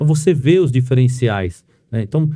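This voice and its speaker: Ordinary pitch variation and a dark, mellow tone come through at a moderate pace. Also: man. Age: 60s. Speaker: podcast host and real estate agency owner. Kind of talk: podcast interview.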